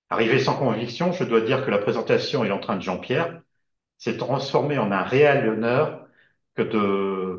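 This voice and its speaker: Somewhat breathy, a man speaks at a medium pitch and a moderate pace, his pitch varying in an ordinary way. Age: 60s. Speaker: service club district governor-elect, retired banker. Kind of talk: prepared video presentation. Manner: formal.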